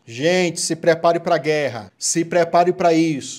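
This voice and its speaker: With an animated tone, a man speaks at a moderate pace and a fairly high pitch. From Goiás, Brazil. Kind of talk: sermon-style preaching with Bible reading and end-times commentary to camera. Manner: animated, urgent, exhorting the viewer directly; informal and warm, chatty. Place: home room.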